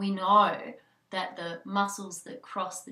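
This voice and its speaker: A woman's bright, sharp voice at medium pitch, at a very slow pace. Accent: Australian. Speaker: hypnobirthing childbirth educator. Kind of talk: instructional tutorial.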